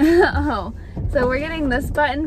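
A woman speaks in a dry setting with no echo. Noticeable noise runs in the background. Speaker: vlogger. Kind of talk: casual vlog chat. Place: car. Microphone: phone near.

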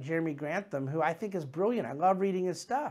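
A man talks at a very fast pace with lively intonation. His pitch is high, and the background is quiet. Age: 40s. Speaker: investment manager hosting a market commentary show. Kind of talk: solo market commentary monologue. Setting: studio. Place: office. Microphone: lapel.

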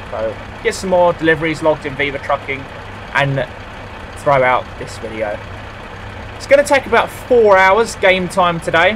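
A man talks at a moderate pace and high pitch, with very wide pitch swings and big swings in loudness. Long, frequent pauses break up his speech over noticeable background noise. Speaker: gaming YouTuber. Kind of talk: gameplay commentary. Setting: home recording. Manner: rambling, hesitant.

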